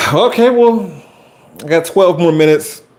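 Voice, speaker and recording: A loud man with a high pitch speaks in an American accent at a moderate pace with ordinary pitch variation. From Chicago. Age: 40s. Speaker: YouTuber and high school teacher. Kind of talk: live stream chat. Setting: home basement live stream. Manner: loud, projecting. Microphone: Wi-Fi cutting out.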